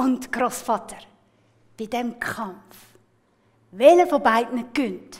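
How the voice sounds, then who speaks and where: A woman's high-pitched voice at a very slow pace, with long, frequent pauses. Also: ordinary pitch variation. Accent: Swiss. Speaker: storyteller. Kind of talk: storytelling performance. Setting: live festival with music accompaniment.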